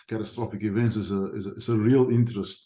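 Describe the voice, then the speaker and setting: Against a quiet background, a man with a dark, mellow tone and fairly low pitch speaks at a moderate pace with fairly even intonation. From South Africa. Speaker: attendee, student of catastrophic events. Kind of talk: self-introduction in meeting.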